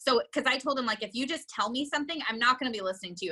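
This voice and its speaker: Loud and animated, a woman talks at a very fast pace with high pitch and lively intonation. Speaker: real estate team owner and coach. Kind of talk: interview.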